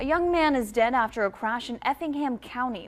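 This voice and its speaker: A woman speaks in an unremarkable speaking voice, fairly high-pitched, with lively intonation at a moderate pace. The recording is very clean, with a silent background. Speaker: television news anchor. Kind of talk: local TV newscast anchor read. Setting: studio.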